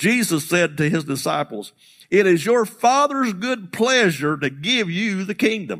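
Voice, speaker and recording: On a very clean recording with a silent background, a man with a high pitch and an animated tone speaks at a fairly slow pace with very wide pitch swings. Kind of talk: sermon. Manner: animated, emphatic call-and-response preaching cadence.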